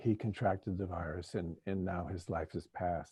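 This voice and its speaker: With a dark, mellow tone and a somewhat breathy quality, a man talks at a fairly slow pace and with fairly even intonation. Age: 70s. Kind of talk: panel discussion.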